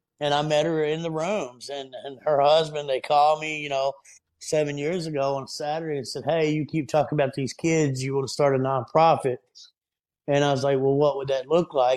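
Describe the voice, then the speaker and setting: Monotone, flat intonation marks a man speaking with a Southern US accent at a fairly high pitch and a fairly quick pace. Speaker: podcast guest, nonprofit founder. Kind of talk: casual, religious. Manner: fervent, preacher-like.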